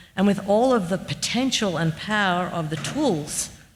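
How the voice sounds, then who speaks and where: A somewhat breathy woman at medium pitch speaks with an Australian accent. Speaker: architect. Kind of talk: Q&A discussion.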